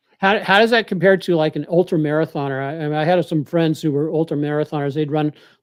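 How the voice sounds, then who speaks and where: Talking at a very fast pace with hardly any pauses, a man with a fairly high voice keeps his intonation fairly even, recorded with a dry, close sound and no echo. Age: 70s. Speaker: trading show host. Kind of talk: interview.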